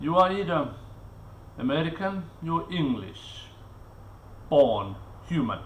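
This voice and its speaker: With a non-native accent, a man talks at a very slow pace with lively intonation, leaving long, frequent pauses as the room echo comes through. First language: not English. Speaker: vlogger. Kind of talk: live stream monologue. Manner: halting, with many fillers and repetitions.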